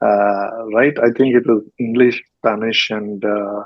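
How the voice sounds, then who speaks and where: A man with an Indian accent talks fairly slowly with monotone, flat intonation. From South India, Karnataka. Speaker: podcast host. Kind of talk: interview. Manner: hesitant, many fillers.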